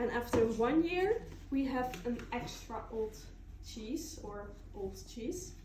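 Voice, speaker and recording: A woman speaks at a very slow pace in a high voice. Noticeable background noise and audible room echo fill the recording. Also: lively intonation. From Netherlands. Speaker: cheese farm tour guide. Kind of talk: guided tour demonstration.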